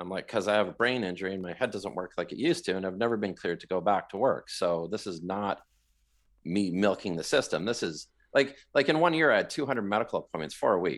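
A man with a Western Canadian accent talks at a very fast pace and a fairly low pitch with lively intonation, on a very clean recording with a silent background. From Western Canada, Vancouver area. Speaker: cancer survivor and marathon runner. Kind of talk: casual interview.

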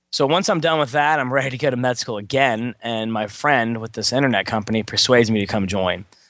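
This is a normal speaking voice, a man with an American accent and a medium pitch. He moves at a fairly quick pace with ordinary pitch variation over a quiet background. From Texas, Beaumont. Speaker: test prep instructor. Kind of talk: interview.

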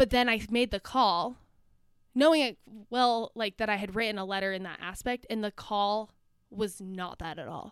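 Using an ordinary speaking voice, a woman with an American accent speaks at a moderate pace in a fairly high pitch, with ordinary pitch variation and big swings in loudness. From northern Utah, US. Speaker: grad student and Instagram creator. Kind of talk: casual chat.

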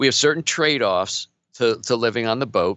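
A man's medium-pitched voice, a plain, everyday voice, with ordinary pitch variation at a fairly quick pace. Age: 50s. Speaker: entrepreneur and business coach. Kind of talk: casual interview.

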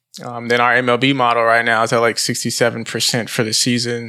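A man with an American accent speaks at a medium pitch in a bright, sharp tone against a quiet background. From Buffalo, New York. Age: 20s. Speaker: sports betting entrepreneur. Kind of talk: interview.

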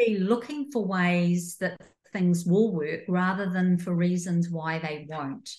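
Very slow, somewhat breathy speech from a woman. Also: fairly low pitch for a woman, ordinary pitch variation. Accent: New Zealand. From New Zealand. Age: 60s. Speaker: entrepreneur and coach. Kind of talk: interview conversation.

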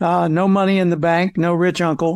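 A man with an American accent talks at a fairly quick pace and a high pitch. The recording is very clean, with a silent background. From US South, Arkansas. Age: 70s. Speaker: professional speaker and author. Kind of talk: interview.

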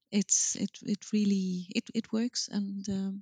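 In a Swedish accent, a woman speaks at a fairly slow pace and medium pitch, somewhat breathy and dark and mellow in tone, with monotone, flat intonation and a dry, close sound with no echo. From Sweden, Gothenburg. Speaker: marketing executive. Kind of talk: interview. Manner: hesitant with fillers.

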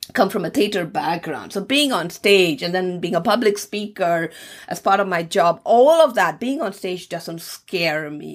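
This woman has an ordinary speaking voice with a medium pitch. Her pace is moderate and her intonation lively. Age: 50s. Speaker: podcast host. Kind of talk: solo monologue. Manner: expressive.

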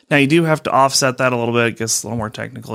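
The recording is very clean and the background silent. A man talks with an American accent. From Colorado. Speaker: accountant. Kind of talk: interview. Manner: hesitant, many fillers.

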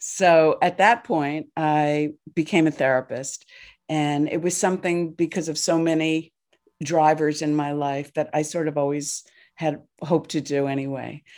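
A woman with an American accent, very deep and low in pitch, with fairly even intonation, on a very clean recording with a silent background. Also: fairly slow pace. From New Jersey, US. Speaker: therapist and nonprofit founder. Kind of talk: casual interview chat.

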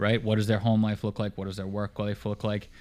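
Recorded very cleanly against a silent background, a man speaks in a Boston accent. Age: 30s. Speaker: podcast host. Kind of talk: casual interview chat. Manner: energetic, motivational.

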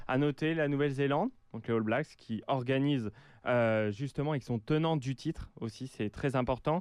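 Against a quiet background, a man with a medium pitch speaks at a moderate pace with ordinary pitch variation. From France. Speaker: exchange student, rugby commentator. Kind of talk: casual sports chat. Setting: radio studio.

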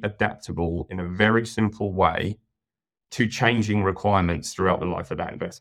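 A man talks at a moderate pace with a British accent, his pitch fairly low. The background is quiet. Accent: British, with a noticeable. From UK. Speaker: network technical account manager. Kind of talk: casual interview. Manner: hesitant, repeats words.

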